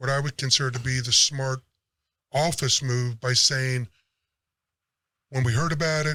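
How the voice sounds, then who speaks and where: Mumbling at a moderate pace, a man with a medium pitch and a bright, sharp tone keeps his intonation fairly even. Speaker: sports podcast host. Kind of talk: casual chat.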